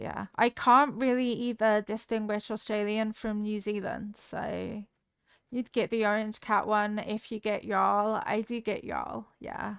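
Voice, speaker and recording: With a slight Devon accent, a woman speaks fairly slowly in a fairly high pitch, her intonation monotone and flat. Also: very clean recording, silent background. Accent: slight Devon accent on some words. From southwest England, Devon. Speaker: video game streamer. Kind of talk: casual live-stream chat.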